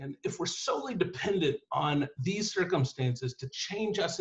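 A man's energetic, animated tone against a quiet background. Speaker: author and writing teacher; guest. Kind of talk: lecture on myth and storytelling. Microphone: video call.

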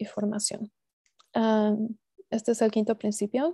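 A woman's fairly high, somewhat breathy voice with a dark, mellow tone, dry with no echo, against a quiet background. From Mexico (Estado de México), moved to US at 15. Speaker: cooperative development specialist; presenter. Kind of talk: online seminar presentation. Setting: video call. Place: home room. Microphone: earbuds.

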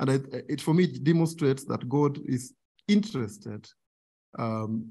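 A man speaks at a moderate pace in a dark, mellow tone. His voice is somewhat breathy. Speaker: guest lecturer. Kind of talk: lecture. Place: hall. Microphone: podium.

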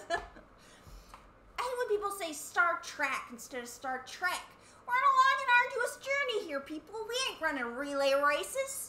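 In a put-on character voice, a female-sounding speaker talks at a moderate pace at an extremely high pitch with very wide pitch swings, with audible echo and light background noise. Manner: putting on her way of speaking. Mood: playful, joking.

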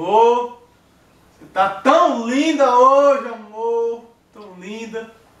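A man's extremely high voice, with lively intonation, unfolds at a very slow pace amid audible room echo. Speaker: comedic actor playing a drunk husband. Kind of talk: comedy sketch acting. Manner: slurred, drunken sweet talk. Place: home room. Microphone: camera far.

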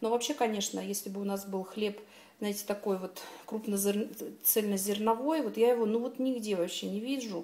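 A woman's fairly even intonation at a moderate pace. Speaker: home vlogger. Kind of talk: casual vlog chat. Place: kitchen. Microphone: phone near.

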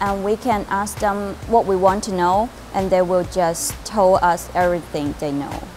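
With music in the background, a woman with a Chinese accent speaks at a fairly slow pace with ordinary pitch variation. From China. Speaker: university student. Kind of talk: interview answer. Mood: warm, positive. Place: hall. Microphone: lapel.

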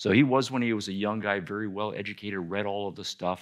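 A plain, everyday voice from a man, fairly low in pitch, fairly quick, with fairly even intonation and a quiet background. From Canada. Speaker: philosophy professor; philosophy lecturer. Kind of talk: lecture. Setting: stage with audience.

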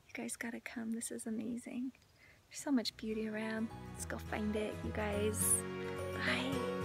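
Clear music plays in the background as a woman speaks, the sound dry with no echo. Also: moderate pace. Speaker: lifestyle vlogger. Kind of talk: casual vlog chat. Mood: cheerful, enthusiastic. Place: open country. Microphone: phone near.

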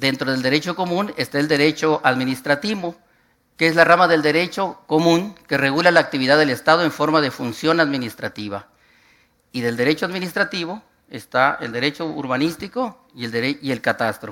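In a northern Mexican accent, a man talks at a fairly quick pace with a bright, sharp tone. His pitch is fairly high with ordinary variation, and the background is quiet. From northwestern Mexico, Hermosillo; northwestern Mexico. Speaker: urban planning and cadastre official; conference lecturer. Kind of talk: conference talk; lecture. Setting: conference hall with audience. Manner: halting, frequent repetitions. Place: hall.

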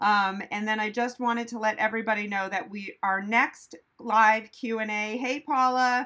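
Behind the woman, the background is quiet. Her pace is moderate and her intonation fairly even. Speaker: veterinarian host. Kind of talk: live stream Q&A chat. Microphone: phone near.

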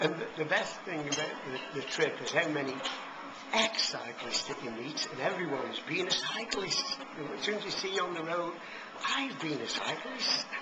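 At a moderate pace, a man talks over loud background noise. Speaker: retired plumber, long-distance cyclist. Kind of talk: interview answer. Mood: cheerful, enthusiastic. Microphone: phone near.

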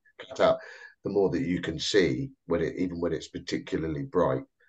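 Over a quiet background, a man with a fairly low pitch talks at a fairly quick pace with lively intonation. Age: 50s. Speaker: webinar host for a charity. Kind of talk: casual chat. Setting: video call webinar. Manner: halting. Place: home room. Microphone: video call.

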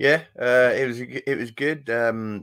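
The backdrop stays quiet. Here a man talks in a bright, sharp tone. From Yorkshire, England. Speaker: former fast bowler, school cricket coach. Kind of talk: casual interview. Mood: relaxed, reflective. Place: home room.

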